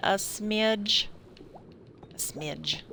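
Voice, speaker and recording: A woman with a slight country accent speaks very slowly at a medium pitch. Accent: slight country twang. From Indiana and Kentucky, US Midwest. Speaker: streamer. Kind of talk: casual chat. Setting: live stream. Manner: rambling, halting.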